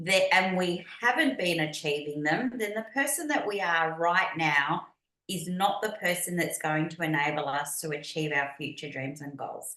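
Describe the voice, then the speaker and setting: A woman with an Australian accent talks at a moderate pace with hardly any pauses. Her pitch is fairly low and her intonation lively. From Australia, Melbourne. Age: 50s. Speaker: business and mindset coach. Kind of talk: podcast interview.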